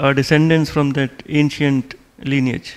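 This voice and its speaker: A man speaks with an Indian accent at a fairly slow pace. Noticeable background noise is present. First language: Hindi. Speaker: diplomat. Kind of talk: lecture. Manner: halting, with many fillers.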